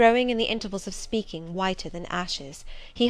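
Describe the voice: This is plain reading aloud. The text is read out as is.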